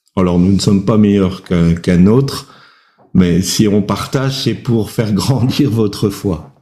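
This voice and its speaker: The voice has a dark, mellow tone and very even loudness, moving at a fairly slow pace with audible room echo. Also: man, fairly low pitch for a man, ordinary pitch variation. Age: old. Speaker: preacher. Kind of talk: sermon with personal testimony. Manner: hesitant, many fillers.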